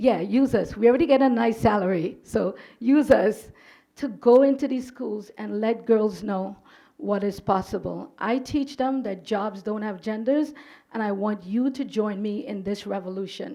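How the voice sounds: A woman speaks at a moderate pace with a dark, mellow tone and vocal fry. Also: medium pitch for a woman, ordinary pitch variation, few pauses.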